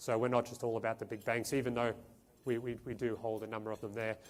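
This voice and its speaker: A man with an Australian accent. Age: 40s. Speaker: portfolio manager. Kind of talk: investment presentation. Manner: halting, many fillers.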